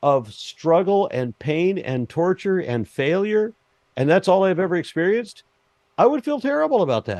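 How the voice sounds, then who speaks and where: A high-pitched man speaks at a moderate pace with very wide pitch swings. The sound is dry and close with no echo, over a quiet background. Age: 60s. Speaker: atheist debater. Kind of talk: heated debate.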